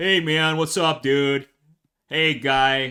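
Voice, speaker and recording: A man puts on a character voice. It sits at a fairly high pitch. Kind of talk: casual slang.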